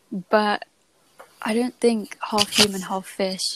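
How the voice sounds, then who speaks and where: Soft-spoken and very slow, a woman talks at a medium pitch with ordinary pitch variation, in dry, close sound with no echo. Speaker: podcast host. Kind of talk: casual chat. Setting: at home at night.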